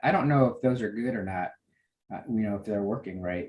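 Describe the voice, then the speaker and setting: Here a man talks at medium pitch. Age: 60s. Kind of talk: casual chat. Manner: halting, many fillers.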